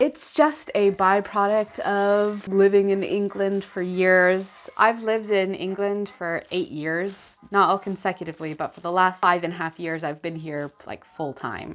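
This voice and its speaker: A woman with an American accent speaks at a fairly slow pace in a medium pitch, with noticeable background noise behind her. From California, US. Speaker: vintage fashion youtuber. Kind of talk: casual Q&A chat. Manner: casual, filler-heavy.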